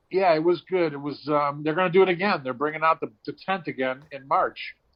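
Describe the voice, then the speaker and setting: The speaker has a normal speaking voice and fairly even intonation. The pace is fairly quick. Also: man, fairly high pitch for a man. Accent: American. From Cleveland area, US. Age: 60s. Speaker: stand-up comedian and actor. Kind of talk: casual chat.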